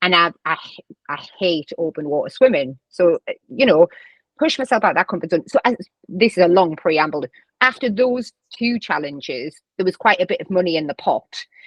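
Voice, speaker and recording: A woman with a strong Northeast English accent talks at a moderate pace and medium pitch. Her pitch swings very widely, and the sound is dry and close with no echo. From northern England, County Durham. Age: 30s. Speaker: vice principal and charity runner. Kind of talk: podcast interview.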